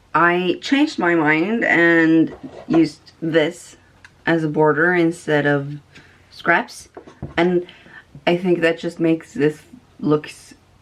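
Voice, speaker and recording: With a Norwegian accent, a woman speaks at a very slow pace, leaving long, frequent pauses. Her pitch varies in an ordinary way. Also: fairly low pitch for a woman. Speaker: sewing vlogger. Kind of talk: casual tutorial. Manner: halting, many fillers.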